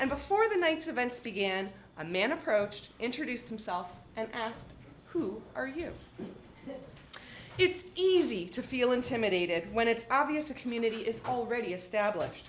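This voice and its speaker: With a Canadian accent, a woman talks at a fairly high pitch with very wide pitch swings, and room echo is audible. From Canada, southwestern Ontario. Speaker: author. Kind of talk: reading aloud.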